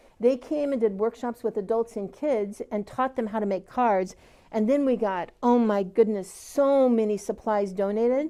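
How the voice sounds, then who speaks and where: With an American accent, a woman speaks at a moderate pace with hardly any pauses, her fairly high voice dark and mellow, with ordinary pitch variation. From Iowa. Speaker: community organization founder. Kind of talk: panel interview.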